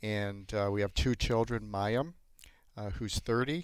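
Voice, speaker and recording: Speaking at a moderate pace with a slight Canadian accent, a man uses a fairly low pitch and ordinary pitch variation on a very clean recording with a silent background. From Canada, Toronto. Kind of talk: interview. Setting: studio.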